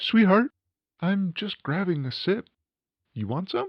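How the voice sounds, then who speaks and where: A man puts on a character voice, high in pitch. He speaks at a fairly slow pace. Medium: audio drama. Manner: calm, gentle, reassuring.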